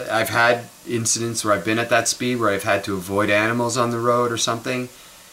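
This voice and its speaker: A man speaks at a fairly quick pace over light background noise. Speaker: vlogger. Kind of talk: casual vlog chat. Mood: opinionated, mildly ranting. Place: kitchen. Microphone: camera far.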